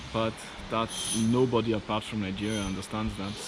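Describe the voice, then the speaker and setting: Against noticeable background noise, the talking proceeds at a moderate pace. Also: man. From Austria, Vorarlberg near Swiss border. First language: German. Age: 40s. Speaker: engineer and DIY vlogger. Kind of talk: casual vlog monologue.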